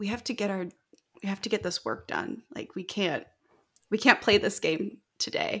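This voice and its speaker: A woman speaks in a medium pitch with ordinary pitch variation and long, frequent pauses, in a very clean recording with a silent background. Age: 30s. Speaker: aerospace thermal engineer. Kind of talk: casual interview chat.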